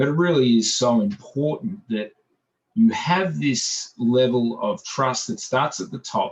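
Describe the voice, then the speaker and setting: A man with an Australian accent speaks at a fairly slow pace and medium pitch, somewhat breathy, with very wide pitch swings. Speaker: business owner. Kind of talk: group video meeting discussion.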